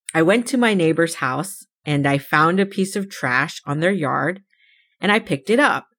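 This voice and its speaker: With an American accent, a woman talks at a moderate pace in a normal speaking voice, fairly low in pitch and lively in intonation. The recording is very clean, with a silent background. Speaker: podcast host. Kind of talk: solo podcast monologue, personal storytelling.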